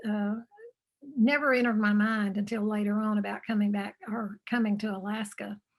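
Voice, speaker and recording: A woman with a fairly high pitch speaks with a slight Texan accent. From Texas. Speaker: author and grief speaker. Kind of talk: interview. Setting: video call.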